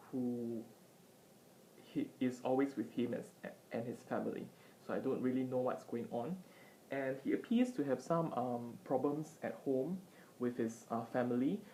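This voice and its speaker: A soft-spoken woman with a dark, mellow tone and a very deep, low pitch, ordinary pitch variation, a moderate pace, and long, frequent pauses. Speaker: vlogger / tutor. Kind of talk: casual commentary. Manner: halting with many fillers. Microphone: iPad mic, poor audio quality.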